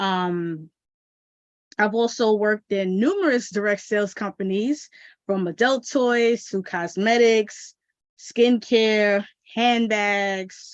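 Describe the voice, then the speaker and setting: Over a quiet background, a woman with an American accent speaks very slowly. Her pitch is fairly high, with ordinary variation. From New York City. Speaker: business strategist and marketing consultant. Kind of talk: live stream talk. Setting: live stream. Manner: animated.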